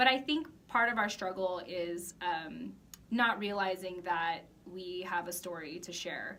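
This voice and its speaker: A woman with an American accent at a medium pitch, moderate pace and ordinary pitch variation, over noticeable background noise. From US. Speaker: project founder. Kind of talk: interview.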